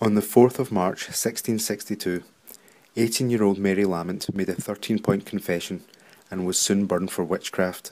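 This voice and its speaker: The speaker uses a normal speaking voice at a moderate pace, with fairly even intonation. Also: man, fairly low pitch for a man. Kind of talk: documentary narration.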